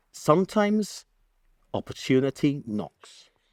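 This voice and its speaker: Speech in a Gibraltarian accent swings very widely in pitch at a fairly slow pace. The sound is dry and close with no echo, on a very clean recording with a silent background. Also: man. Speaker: broadcaster and news presenter. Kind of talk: public talk. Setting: stage with audience. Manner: animated.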